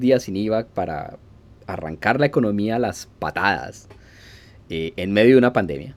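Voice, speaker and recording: A man's plain, everyday voice with lively intonation. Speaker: podcaster. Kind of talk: solo podcast monologue.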